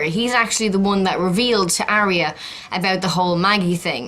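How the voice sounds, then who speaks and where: Speaking with an Irish accent, a woman has a medium-pitched voice. She goes at a moderate pace amid noticeable background noise. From Ireland, County Meath. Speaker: YouTuber, TV show commentator. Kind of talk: casual vlog.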